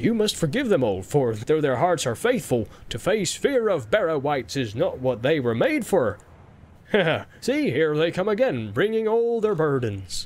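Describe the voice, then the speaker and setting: A man puts on a sing-song character voice at a fairly high pitch, with very wide pitch swings. His pace is moderate. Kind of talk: audiobook character voice. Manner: jolly, sing-song, laughing.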